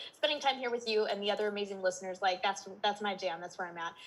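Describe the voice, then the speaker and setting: Talking at a very fast pace, a woman speaks in a Minnesotan accent. Her pitch is fairly high. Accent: Minnesota. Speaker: life and business coach. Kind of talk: podcast interview. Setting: holding a baby trying to sleep.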